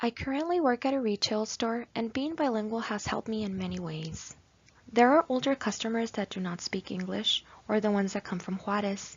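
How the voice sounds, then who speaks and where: Her fairly high voice is somewhat breathy and lively in intonation. This woman keeps a fairly quick pace. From southern California (La Puente), Mexican-American family. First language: Spanish. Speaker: graduate student. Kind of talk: class presentation, read from script.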